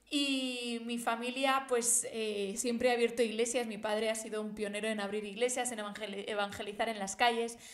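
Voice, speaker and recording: The intonation stays flat and monotone, at a moderate pace. Noticeable background noise and audible room echo surround the speech. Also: woman, fairly high pitch for a woman. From Spain, Barcelona area (born Madrid, moved at five). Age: 20s. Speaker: theology podcaster. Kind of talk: personal testimony.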